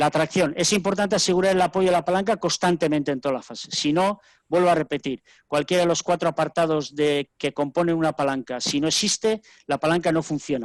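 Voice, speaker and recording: This man has an unremarkable speaking voice with a fairly high pitch. The background is quiet. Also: ordinary pitch variation, fairly quick pace, dry, close sound with no echo. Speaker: rowing coach. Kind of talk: lecture. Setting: webinar video call.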